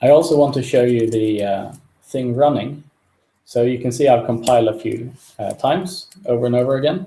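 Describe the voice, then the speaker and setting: Somewhat breathy, a man speaks at medium pitch with a dark, mellow tone. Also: ordinary pitch variation, fairly quick pace. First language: not English. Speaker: software developer. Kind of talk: live coding tutorial. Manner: halting, many fillers.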